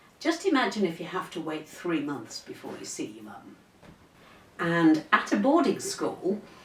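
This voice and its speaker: The recording has audible room echo and noticeable background noise. A woman speaks at a fairly slow pace, her loudness swinging widely. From North Yorkshire, England. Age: 60s. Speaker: retired teacher. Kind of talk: casual interview.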